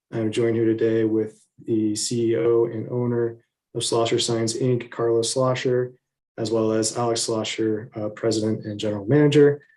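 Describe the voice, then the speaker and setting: A soft-spoken man at medium pitch with monotone, flat intonation and a moderate pace. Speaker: city business development specialist. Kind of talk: presentation to city council.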